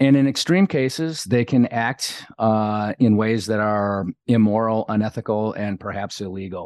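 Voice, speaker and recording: In a normal speaking voice, a man talks at a moderate pace with hardly any pauses, a fairly low pitch and ordinary pitch variation, recorded dry and close with no echo against a quiet background. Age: 50s. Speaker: leadership coach and retired navy diver. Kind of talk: interview.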